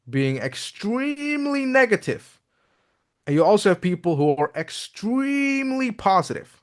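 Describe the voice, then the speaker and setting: Speaking at a fairly slow pace, a man makes very wide pitch swings. The background is quiet. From Netherlands. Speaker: crypto YouTuber. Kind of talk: video commentary.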